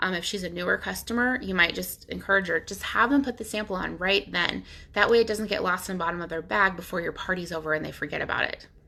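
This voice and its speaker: Talking very fast, a woman uses a bright, sharp tone at medium pitch with ordinary pitch variation. Vocal fry runs through her voice. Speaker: nail polish sales stylist. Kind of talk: tutorial. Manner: casual with many fillers.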